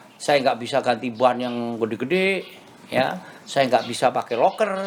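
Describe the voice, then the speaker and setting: Over noticeable background noise, a man talks at a medium pitch and moderate pace with lively intonation. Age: 60s. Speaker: classic car collector and restorer. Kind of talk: casual interview chat. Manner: code-switching with English phrases.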